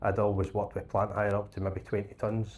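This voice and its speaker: In a Scottish accent, the speaker moves at a fairly quick pace with monotone, flat intonation. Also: man. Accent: Scottish, noticeable. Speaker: plant hire business support manager. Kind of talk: panel discussion.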